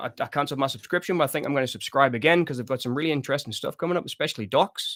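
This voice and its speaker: Someone with a Sunderland accent speaks with ordinary pitch variation on a very clean, dry, close recording with a silent background and no echo. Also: man. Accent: Mackem (Sunderland), still noticeable. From northeast England, Sunderland/Washington. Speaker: horror movie livestream host. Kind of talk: casual livestream chat reading viewer comments. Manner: relaxed, conversational with many fillers.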